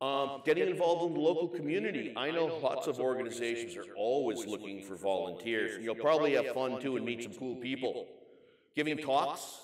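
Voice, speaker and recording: Intonation runs lively as a man talks at a fairly quick pace. The room echo is audible. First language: not English. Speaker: keynote speaker on information security. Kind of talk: conference keynote. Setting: stage with audience. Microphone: echo in recording.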